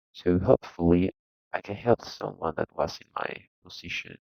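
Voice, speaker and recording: A man with a non-native accent and a very deep, low pitch speaks at a fairly slow pace with ordinary pitch variation. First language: not English. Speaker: video game tutorial creator. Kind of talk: tutorial. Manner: halting.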